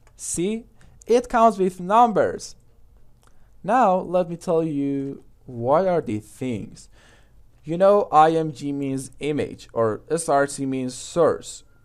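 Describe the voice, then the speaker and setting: A man with a non-native accent talks at a very slow pace in a fairly high voice. The recording is very clean, with a silent background. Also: lively intonation. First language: not English. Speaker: coding tutor. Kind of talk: tutorial. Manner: casual, hesitant.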